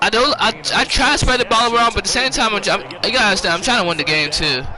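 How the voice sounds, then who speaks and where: Over noticeable background noise, a man raises and projects his voice, his pitch swinging very widely. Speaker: gaming streamer. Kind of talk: gameplay commentary. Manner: halting.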